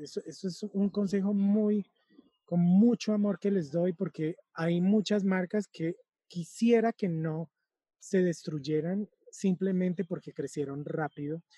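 A man's high, dark, mellow voice at a fairly slow pace, with ordinary pitch variation and a dry, close sound with no echo. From Colombia–Venezuela border (Cúcuta). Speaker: fashion business consultant. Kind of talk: interview.

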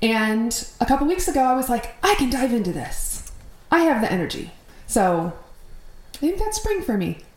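A high-pitched woman with an American accent and very wide pitch swings, at a moderate pace with long, frequent pauses, amid noticeable background noise and audible room echo. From Minnesota. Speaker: podcast host. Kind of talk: casual chat.

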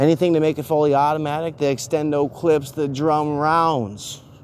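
The speaker is a man. His pitch sits fairly high. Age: 30s. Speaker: political commentary podcaster. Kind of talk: solo political commentary rant. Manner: animated.

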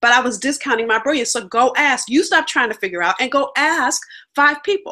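A woman with an American accent speaks in a raised, projected, high-pitched voice with a bright, sharp tone, lively intonation and a fairly quick pace. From California. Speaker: business coach. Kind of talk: interview.

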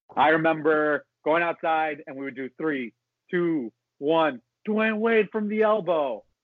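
Man in a plain, everyday voice with an American accent, fairly high in pitch and fairly slow, with lively intonation and big swings in loudness. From South Florida (Miami). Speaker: sports podcast host. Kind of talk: casual chat.

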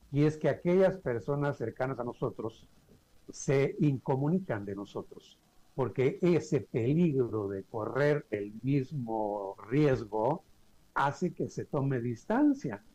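This man has a dark, mellow tone, a somewhat breathy voice, and medium pitch. He talks at a very slow pace with lively intonation. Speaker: mental health organization director. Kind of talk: interview.

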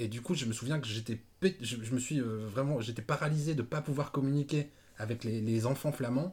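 A somewhat breathy male voice with ordinary pitch variation at a moderate pace. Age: 30s. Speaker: podcast host. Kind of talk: casual chat.

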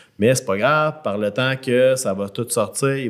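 On a very clean recording with a silent background, a man with a Quebec accent talks at a medium pitch with ordinary pitch variation. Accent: Québécois French. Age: 30s. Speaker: podcast co-host. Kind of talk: casual chat.

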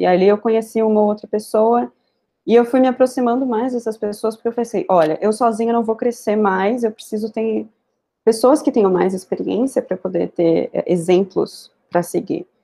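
A dark, mellow tone marks a woman's fairly high voice. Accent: São Paulo. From Brazil, São Paulo. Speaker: software tech lead. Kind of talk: interview conversation.

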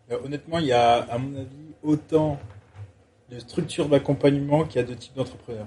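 The man has an unremarkable speaking voice, fairly high in pitch, with fairly even intonation and a fairly quick pace. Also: big swings in loudness. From France, Avignon. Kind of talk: casual chat. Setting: startup incubator premises, Toulouse.

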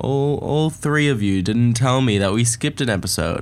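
A man with a British accent at a fairly slow pace. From living in New York. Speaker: podcast host. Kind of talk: casual podcast chat, solo. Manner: casual, chatty, rambling.

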